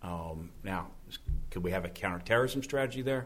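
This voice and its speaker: With audible room echo around him, a man speaks at a moderate pace in an American accent. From Oklahoma. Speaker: army officer. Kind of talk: panel discussion.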